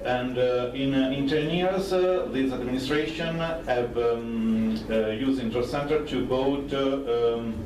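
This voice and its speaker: A man with an Italian accent speaks at a fairly slow pace and very even loudness, with audible room echo and noticeable background noise. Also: medium pitch for a man, ordinary pitch variation, hardly any pauses. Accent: Italian, non-native English. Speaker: public procurement official. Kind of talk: conference presentation. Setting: conference stage with audience. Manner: halting, many fillers.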